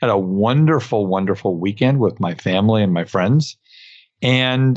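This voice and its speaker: An unremarkable speaking voice with an American accent carries lively intonation at a moderate pace. The loudness stays very even. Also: man. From New York (Brooklyn). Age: 60s. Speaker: podcast host, dental accountant. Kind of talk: solo podcast monologue. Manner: many filler words, uh.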